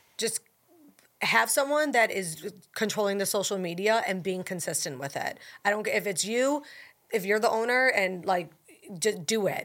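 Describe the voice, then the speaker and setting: Her intonation lively and her pitch medium, a woman speaks at a moderate pace with long, frequent pauses on a very clean recording with a silent background. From Buffalo, New York. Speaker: food influencer, former TV anchor. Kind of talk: casual interview chat.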